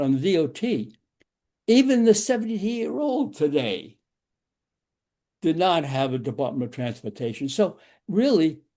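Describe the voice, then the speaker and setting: Dark and mellow in tone, the voice moves at a fairly slow pace with very wide pitch swings against a quiet background. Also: man. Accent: New York. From New York. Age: 90s. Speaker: driving safety instructor. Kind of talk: lecture. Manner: halting.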